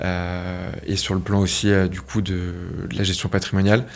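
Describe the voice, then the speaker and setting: Flat and monotone, a man talks at a fairly slow pace in a very deep, low pitch. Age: 20s. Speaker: real estate agent. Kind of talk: interview. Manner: halting.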